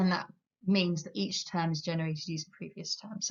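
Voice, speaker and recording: This woman's voice is somewhat breathy, and she speaks in an English accent. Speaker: maths teacher. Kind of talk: lecture. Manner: fast.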